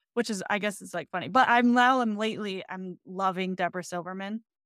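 A woman's medium-pitched voice in an American accent, an ordinary speaking voice with ordinary pitch variation and big swings in loudness, dry and close with no echo, in a very clean recording with a silent background. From Michigan, US Midwest. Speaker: dietitian. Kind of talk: casual interview chat.

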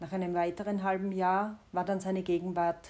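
Her intonation is monotone and flat. The woman speaks at a medium pitch and a moderate pace. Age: 40s. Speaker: personal diarist, podcaster. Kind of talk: personal narration, confessional.

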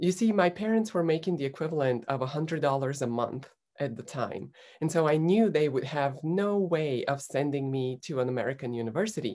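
In a very clean recording with a silent background, a woman with a Bulgarian accent speaks in a very deep, dark, mellow voice with lively intonation. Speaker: former Olympic beach volleyball player and executive coach. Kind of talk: interview storytelling.

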